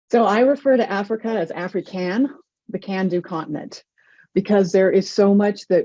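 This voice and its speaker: Over a quiet background, a woman with an American accent talks at a moderate pace in a dark, mellow tone of medium pitch with lively intonation. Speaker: international business author. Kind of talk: interview.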